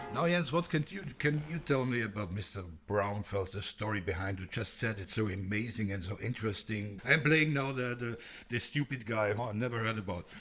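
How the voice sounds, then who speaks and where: A man speaks with a German accent at medium pitch. His pace is fairly quick and his intonation lively. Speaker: classical music podcast co-host. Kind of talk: casual chat. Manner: halting, repeats words.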